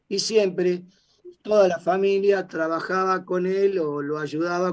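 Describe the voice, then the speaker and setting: At a fairly slow pace, a man speaks with a high pitch and fairly even intonation. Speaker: defendant in a trial. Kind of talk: court testimony. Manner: halting.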